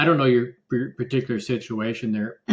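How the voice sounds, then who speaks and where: A man with a plain, everyday voice at medium pitch, moderate in pace and ordinary in pitch variation. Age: 60s. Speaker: engineer and political candidate. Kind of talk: casual political discussion.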